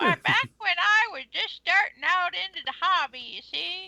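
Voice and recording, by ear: A put-on character voice at an extremely high pitch moves along at a moderate pace.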